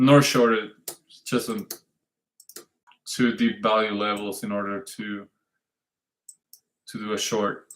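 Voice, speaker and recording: A man with a non-native accent speaks at a very slow pace, his intonation fairly even, his loudness swinging widely, and long pauses coming often. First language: not English. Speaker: trading livestream host. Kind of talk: live stream market analysis. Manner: halting, self-correcting.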